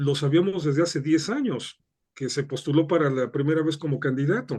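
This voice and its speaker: This man's pitch sits fairly high. The tone is dark and mellow. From Mexico. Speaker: political analyst. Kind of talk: interview.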